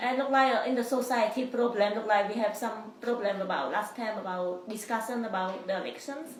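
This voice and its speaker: Woman with a non-native accent, fairly high pitch and ordinary pitch variation, at a fairly quick pace with hardly any pauses, over noticeable background noise. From immigrant to the US. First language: not English. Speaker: college student. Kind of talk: interview. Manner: halting.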